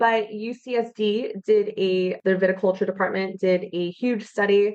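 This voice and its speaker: A woman speaks in a normal speaking voice with an American accent. Her pitch is medium, and her intonation fairly even. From California. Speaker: wine expert. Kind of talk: podcast interview.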